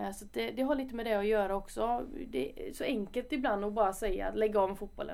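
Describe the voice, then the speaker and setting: Vocal fry marks this woman's fairly high-pitched voice. She talks at a fairly quick pace with ordinary pitch variation. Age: 20s. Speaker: footballer. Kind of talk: podcast interview. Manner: casual.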